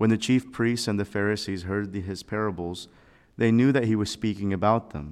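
A man with a normal speaking voice, fairly low in pitch, fairly even in intonation and fairly quick in pace, on a very clean recording with a silent background. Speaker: priest giving homily. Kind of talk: homily. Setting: chapel. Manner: fervent, earnest, pausing.

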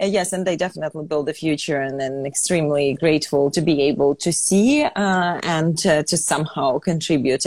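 Amid noticeable background noise, a woman with a very deep, low pitch speaks at a moderate pace with ordinary pitch variation. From Ukraine. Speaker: fashion entrepreneur. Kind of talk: interview.

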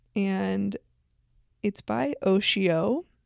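A woman speaks in a normal speaking voice at medium pitch, with ordinary pitch variation. The sound is dry and close with no echo, on a very clean recording over a silent background. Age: 30s. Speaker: podcast host. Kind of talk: solo reflective monologue.

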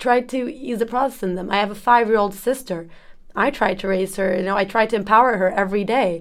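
The speaker, in a Turkish accent, talks at a very fast pace with ordinary pitch variation. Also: woman, medium pitch for a woman. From Turkey, Ankara. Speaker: exchange student. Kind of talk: casual chat.

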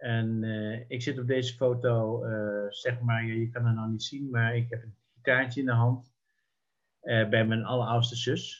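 A man's somewhat breathy voice at medium pitch, monotone and flat, at a fairly slow pace. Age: 70s. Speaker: sociologist and local councillor. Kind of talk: interview reminiscing. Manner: halting, many hesitations.

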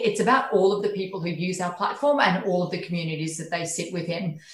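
There is audible room echo as a woman speaks with an Australian accent. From regional Queensland, Australia. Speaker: tech company country manager. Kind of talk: interview.

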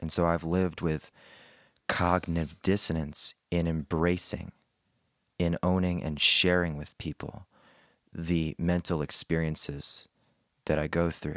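A man speaks at a very deep, low pitch in a monotone, flat way with long, frequent pauses. The recording is very clean with a silent background, and the sound is dry and close with no echo. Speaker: comedian. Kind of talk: casual chat.

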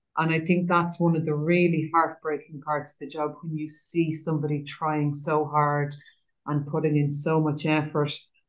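In an Irish accent, a woman with a very deep, low pitch speaks at a moderate pace with a monotone, flat intonation. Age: 50s. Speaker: trainee prison chaplain and yoga teacher. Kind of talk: guided meditation; interview conversation.

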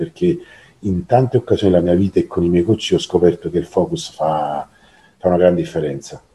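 A man with a very deep, low pitch and a dark, mellow, somewhat breathy tone, at a moderate pace with fairly even intonation. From southern Italy, Naples. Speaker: coach. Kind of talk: interview conversation.

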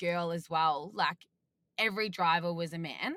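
A woman with an Australian accent, speaking at a fairly slow pace with ordinary pitch variation. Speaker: off-road racer. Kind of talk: casual chat.

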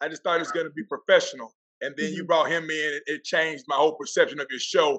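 A man with a Southern US accent, fairly high-pitched, bright and sharp in tone, very fast, with fairly even intonation and big swings in loudness. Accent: country, Southern. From Florida Panhandle, US South. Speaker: football coach and keynote speaker. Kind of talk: casual interview.

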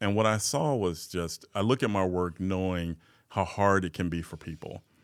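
A man speaks at a moderate pace in a very deep, low voice, on a very clean recording with a silent background. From US Midwest, South Side of Chicago. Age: 40s. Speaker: nonprofit chief executive. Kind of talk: casual interview conversation.

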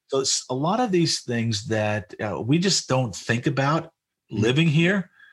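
Speaking fairly slowly with an American accent, a man uses lively intonation in a somewhat breathy voice, captured on a very clean recording against a silent background. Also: medium pitch for a man. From New York City, Queens. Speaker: Baptist association director. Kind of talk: interview conversation.

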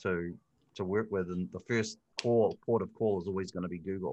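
Against a quiet background, a man with a New Zealand accent speaks at a fairly quick pace and fairly low pitch. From New Zealand, Hamilton. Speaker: digital marketing expert. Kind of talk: interview. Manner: hesitant, many fillers.

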